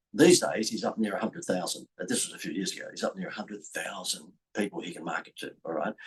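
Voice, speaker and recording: A man with an Australian accent. He talks at a very fast pace. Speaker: business coach and speaker. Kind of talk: marketing talk to camera. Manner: animated.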